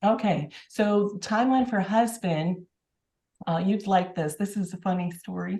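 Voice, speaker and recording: A woman speaks with an American accent at a fairly slow pace. Her medium-pitched voice has a dark, mellow tone, ordinary pitch variation and is somewhat breathy. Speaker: public health nurse. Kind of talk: casual interview. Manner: halting.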